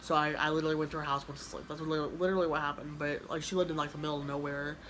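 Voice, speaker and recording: A woman with an American accent and a very deep, low pitch, very fast, flat and monotone, with audible room echo. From Kansas, US. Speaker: YouTuber. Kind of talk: casual chat. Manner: mumbling; halting.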